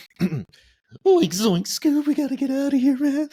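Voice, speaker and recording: A man performs a put-on character voice at an extremely high pitch. He goes at a fairly slow pace. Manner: goofy, panicked.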